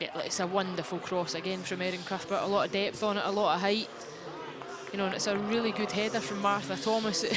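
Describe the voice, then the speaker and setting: The words come out very fast. There is noticeable noise in the background. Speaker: match analyst co-commentator. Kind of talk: live match commentary, analytical. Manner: conversational, measured, reflective.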